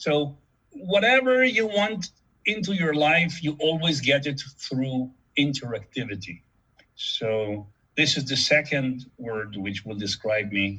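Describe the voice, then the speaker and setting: A man speaks very slowly at a fairly high pitch. His tone is bright and sharp, and his pitch swings very widely. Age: 70s. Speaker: board game inventor. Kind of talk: interview. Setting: video call. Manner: halting, many repetitions.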